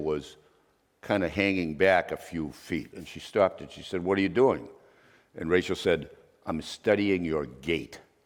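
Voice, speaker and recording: In a very clean recording with a silent background, a man with a Boston accent speaks at a moderate pace. His pitch is very deep and low, with ordinary variation. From Boston area, Massachusetts. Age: 70s. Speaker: investigative journalist. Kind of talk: masterclass interview.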